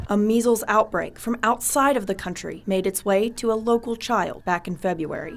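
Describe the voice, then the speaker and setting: A woman with a plain, everyday voice talks at a moderate pace with hardly any pauses. Her pitch is fairly high, with ordinary pitch variation. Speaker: television news reporter. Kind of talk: TV news reporting. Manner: polished anchor-style news voiceover.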